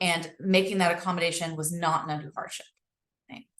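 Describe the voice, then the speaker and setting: A woman speaks at a fairly quick pace. Her pitch is fairly low, with ordinary variation. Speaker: employment lawyer. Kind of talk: webinar presentation.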